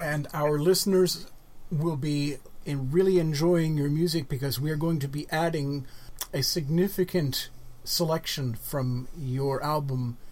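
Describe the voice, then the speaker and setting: With an American accent, a man in a normal speaking voice talks fairly slowly at a fairly high pitch, his intonation fairly even. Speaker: radio show host. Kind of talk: casual interview. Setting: radio studio.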